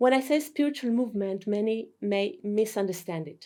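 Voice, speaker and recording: In a very clean recording with a silent background, a woman with a non-native accent speaks at a moderate pace with ordinary pitch variation. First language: not English. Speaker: spiritual teacher. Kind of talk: lecture. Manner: formal.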